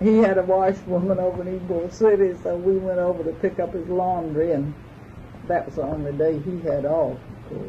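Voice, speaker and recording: A woman with an American accent and a fairly low pitch, at a moderate pace with fairly even intonation, over noticeable background noise. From Georgia. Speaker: legal secretary and office manager. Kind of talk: interview answer.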